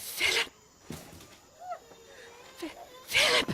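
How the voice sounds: A put-on character voice from a woman, bright and sharp in tone, at a very slow pace.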